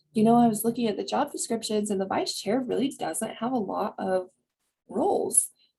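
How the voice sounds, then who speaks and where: Somewhat breathy and animated, a woman speaks at a moderate pace with ordinary pitch variation. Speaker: community coalition coordinator. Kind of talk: presentation on video call.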